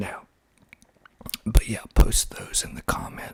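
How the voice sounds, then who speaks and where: A man is whispering with an American accent. Noticeable background noise can be heard. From US South, Georgia. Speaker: ASMR creator. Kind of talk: soft-spoken ASMR talk. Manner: slow; soft-spoken.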